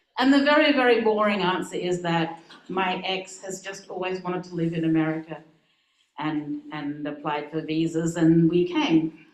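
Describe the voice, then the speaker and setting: A woman with an Australian accent, fairly low in pitch, lively in intonation, at a moderate pace with big swings in loudness, amid audible room echo. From Australia, Adelaide. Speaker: minister. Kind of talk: talk to congregation.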